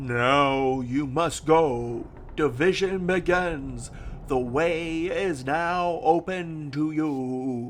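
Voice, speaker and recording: A put-on character voice at a very slow pace. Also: man, fairly high pitch for a man. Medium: game stream. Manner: soft, murmuring.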